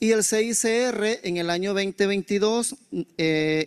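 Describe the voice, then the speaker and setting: The pitch varies in an ordinary way against a quiet background. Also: man. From El Salvador. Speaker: humanitarian coordinator; speaker. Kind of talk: conference presentation. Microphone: handheld.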